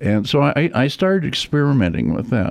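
Against a quiet background, the speaker talks at a fairly slow pace with very wide pitch swings. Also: man. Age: 80s. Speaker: retired casino executive, guest. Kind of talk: casual interview.

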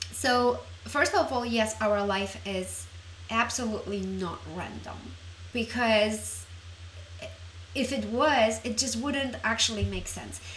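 Speaking at a very slow pace with long, frequent pauses, a woman is heard over noticeable background noise and audible room echo. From Poland. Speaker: relationship coach. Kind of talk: solo podcast monologue.

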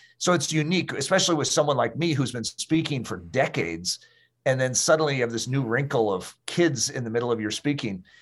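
A man with a medium-pitched voice talks very fast. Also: lively intonation, very clean recording, silent background. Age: 50s. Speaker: pastor and author. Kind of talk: interview.

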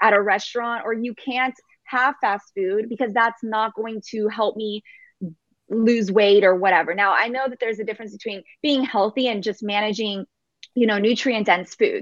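Using an ordinary speaking voice, a woman talks at a moderate pace with a fairly high pitch and fairly even intonation. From Texas. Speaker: fitness and nutrition coach. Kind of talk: interview.

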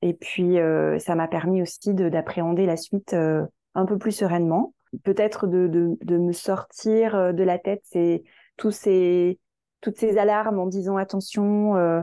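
A woman speaks very slowly at a medium pitch, her dark, mellow tone held at very even loudness with fairly even intonation, recorded dry and close with no echo against a quiet background. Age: 40s. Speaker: marketing agency founder. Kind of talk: interview. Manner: halting.

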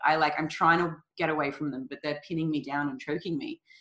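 With an Australian accent, a woman speaks at a very deep, low pitch in a bright, sharp tone with fairly even intonation, on a very clean recording with a silent background. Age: 30s. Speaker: nutrition coach. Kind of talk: casual chat.

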